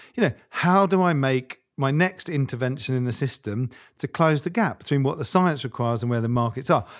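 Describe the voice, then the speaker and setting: Using lively intonation, a man with an unremarkable speaking voice talks at a fairly high pitch. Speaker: former nonprofit CEO. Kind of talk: casual interview conversation. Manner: fast talker.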